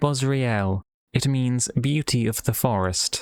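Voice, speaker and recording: A man's put-on character voice in a dry, close sound with no echo. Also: medium pitch for a man, fairly slow pace. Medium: read story.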